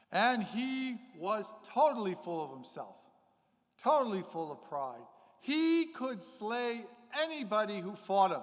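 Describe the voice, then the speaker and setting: Amid audible room echo, a man with a high pitch talks fairly slowly, leaving long, frequent pauses while his pitch swings very widely and his loudness rises and falls sharply. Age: 60s. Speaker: priest. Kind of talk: sermon.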